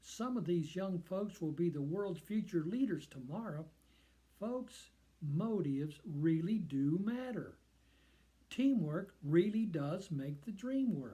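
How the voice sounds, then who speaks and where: A man speaks very slowly, with lively intonation and a high pitch. His tone is dark and mellow. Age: 70s. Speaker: leadership educator. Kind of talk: scripted monologue.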